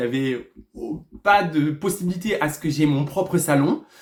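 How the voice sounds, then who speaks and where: A man talks at a fairly slow pace. His fairly high voice has ordinary pitch variation. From southwest France, Lourdes. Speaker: hairdresser and former reality TV contestant. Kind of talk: storytime vlog monologue. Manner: loud; excitable, animated.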